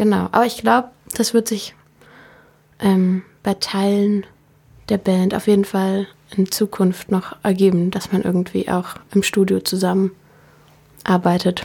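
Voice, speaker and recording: A woman speaks fairly slowly, with long, frequent pauses. Her tone is dark and mellow, somewhat breathy, with fairly even intonation. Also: medium pitch for a woman. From Berlin, Germany. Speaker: singer-songwriter. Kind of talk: interview. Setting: radio studio.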